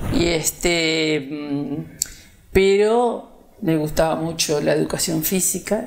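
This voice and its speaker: A woman's voice, very deep and low-pitched. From Uruguay, Pando. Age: 70s. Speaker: retired schoolteacher. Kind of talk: interview about life story. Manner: hesitant, many fillers.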